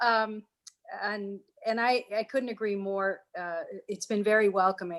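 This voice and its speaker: Fairly slow speech from a woman with an American accent, fairly high in pitch, with ordinary pitch variation. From New York. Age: 60s. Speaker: nonprofit executive. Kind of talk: casual chat. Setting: video call.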